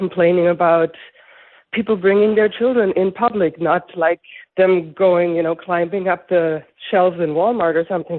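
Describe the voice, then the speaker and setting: Speaking with a non-native accent, a woman keeps a moderate pace, a fairly low pitch and ordinary pitch variation. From Europe. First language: not English. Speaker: caller. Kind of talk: call-in conversation.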